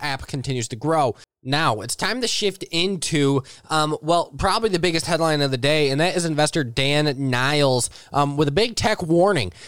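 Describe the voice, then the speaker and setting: This man has a plain, everyday voice, a fairly high pitch with ordinary variation, and a moderate pace. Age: 20s. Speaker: finance podcast host. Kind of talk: solo market commentary. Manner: frequent filler words.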